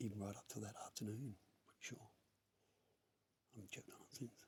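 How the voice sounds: In a put-on character voice, the speaker whispers croakily at a very fast pace with big swings in loudness. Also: man.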